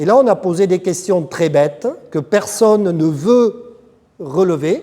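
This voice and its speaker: With a south-west French accent, a man speaks at a high pitch in a dark, mellow tone with lively intonation. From south-west France. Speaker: agronomist consultant. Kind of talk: lecture.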